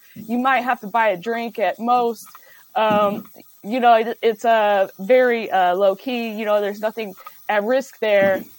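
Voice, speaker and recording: A woman with an American accent speaks in a plain, everyday voice at a fairly high pitch. Her pace is fairly slow and her intonation fairly even. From Ohio, Dayton. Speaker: comedian. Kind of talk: casual chat. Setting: studio.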